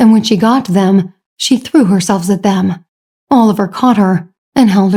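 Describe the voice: Plain reading aloud, a quiet background behind it, pitch varying in an ordinary way.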